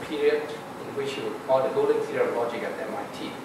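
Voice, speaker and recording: The speech moves at a moderate pace, with strong echo from the room and noticeable noise behind it. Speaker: institute director. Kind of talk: formal introduction. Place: hall.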